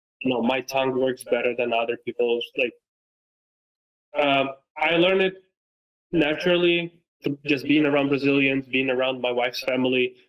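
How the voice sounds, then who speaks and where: At a moderate pace, a man with a fairly high pitch speaks with long, frequent pauses, fairly even intonation and very even loudness. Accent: Romanian. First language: Romanian. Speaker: football content creator and coach. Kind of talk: casual interview chat.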